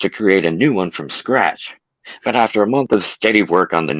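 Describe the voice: A quiet background behind plain reading aloud with lively intonation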